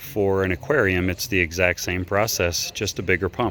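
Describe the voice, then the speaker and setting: With a bright, sharp tone, the voice keeps its intonation mostly level. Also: man. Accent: slight Texan. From Texas. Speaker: DIY tutorial maker. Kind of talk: tutorial. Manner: casual, halting with fillers.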